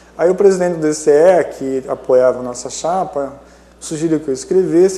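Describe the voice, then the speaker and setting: This man has a fairly high voice. His pitch varies in an ordinary way. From Maringá, Paraná, southern Brazil. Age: 50s. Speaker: historian and professor. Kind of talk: interview. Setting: studio.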